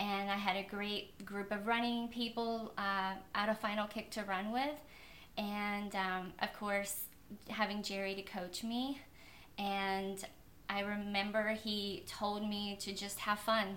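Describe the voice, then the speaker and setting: Very slow, monotone and flat delivery from a woman at medium pitch, with audible room echo and noticeable background noise. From Kentucky. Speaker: elite marathon runner. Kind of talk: interview.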